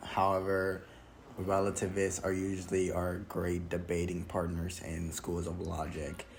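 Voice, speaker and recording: In audible room echo, a man speaks with a very deep, low pitch and monotone, flat intonation. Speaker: YouTuber reviewing a film critique video. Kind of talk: solo video commentary, report style. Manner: hesitant, many fillers.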